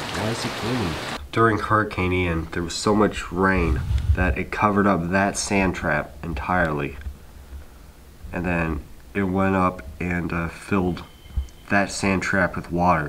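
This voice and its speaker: The speech moves at a fairly slow pace with long, frequent pauses and light background noise. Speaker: home vlogger. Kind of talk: casual vlog chat. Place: home room. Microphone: phone near.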